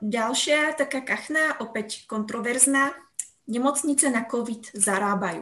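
The voice belongs to a woman and sits high, with ordinary pitch variation. It sounds bright and sharp. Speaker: podcast host. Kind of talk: interview. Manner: hesitant.

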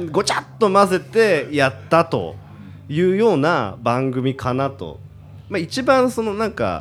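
Music plays in the background. Over it, a man with a fairly high voice swings his pitch very widely. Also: fairly slow pace. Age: 30s. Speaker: YouTube commentator, air-conditioner salesman. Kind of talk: casual chat.

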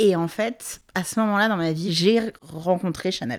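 In a very clean recording with a silent background, an unremarkable speaking voice moves at a fairly slow pace with ordinary pitch variation. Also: woman. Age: 30s. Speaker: project director interviewed about fashion. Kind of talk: interview testimony.

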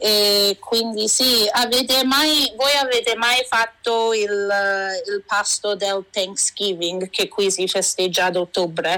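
A bright, sharp tone at a very slow pace, with ordinary pitch variation, hardly any pauses and very even loudness. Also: woman, fairly high pitch for a woman. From Vancouver, Canada, Italian-Canadian family. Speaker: food blogger. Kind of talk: interview.

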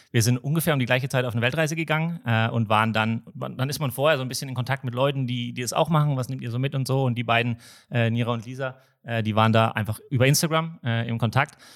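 At a very fast pace, a man of medium pitch keeps fairly even intonation on a very clean recording with a silent background. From Nuremberg, Franconia. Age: 30s. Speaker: startup founder. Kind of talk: podcast interview.

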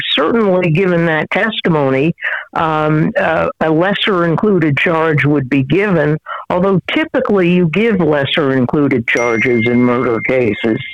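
Noticeable background noise sits behind a woman whose very deep, low pitch comes at a moderate pace with very even loudness. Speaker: former federal prosecutor. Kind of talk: phone interview. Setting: phone call.

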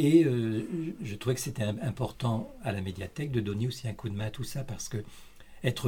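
A man talks in a fairly low voice. His delivery is somewhat breathy. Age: 60s. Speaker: library volunteer, retiree. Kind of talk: interview. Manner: halting, many hesitations and repetitions.

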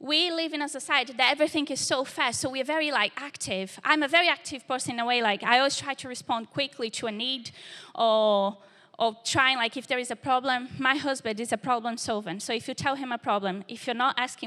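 In a Portuguese accent, a woman talks very fast in a high pitch with a bright, sharp tone and ordinary pitch variation, on a very clean recording with a silent background. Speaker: church young adults leader preaching. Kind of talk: sermon. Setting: church service with live congregation.

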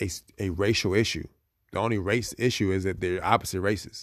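A man's fairly low voice at a fairly quick pace, very cleanly recorded against a silent background, the sound dry and close with no echo. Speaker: podcast host. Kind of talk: solo commentary monologue. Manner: halting, many fillers.

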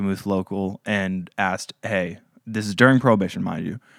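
A man speaks at a moderate pace in a fairly low pitch with a plain, everyday voice. The sound is dry and close, with no echo. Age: 20s. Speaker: museum historian, podcast host. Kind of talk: casual chat.

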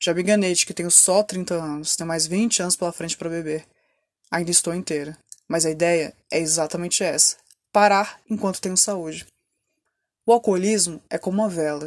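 Here is a woman with a plain, everyday voice and a fairly low pitch. She talks at a moderate pace with fairly even intonation. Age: 30s. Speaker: podcaster in addiction recovery. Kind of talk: personal testimony monologue.

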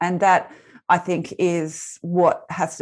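This speaker is a woman. Her accent is Australian. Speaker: resilience speaker and former teacher. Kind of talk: interview. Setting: video call.

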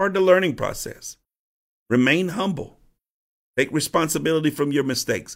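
This man has a fairly high pitch. He talks at a moderate pace with ordinary pitch variation. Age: 50s. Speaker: bishop and podcast host on church leadership. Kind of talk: teaching monologue on leadership. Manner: repetitive, with frequent restarts.

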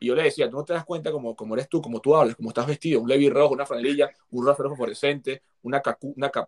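This man talks very fast, his fairly high voice keeping a fairly even intonation. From Venezuela. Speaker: actor and comedian. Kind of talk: casual interview.

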